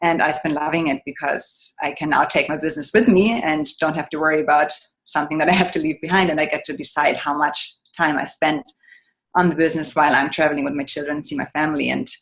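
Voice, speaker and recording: With a German accent, a woman with a very deep, low pitch speaks at a very fast pace and ordinary pitch variation. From Germany. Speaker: business owner. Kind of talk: testimony.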